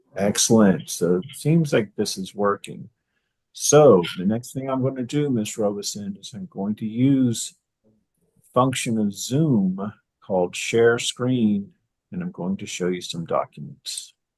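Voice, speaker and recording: This man talks fairly slowly in a medium pitch, with lively intonation and big swings in loudness. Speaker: judge. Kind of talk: court hearing. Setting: video call. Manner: formal.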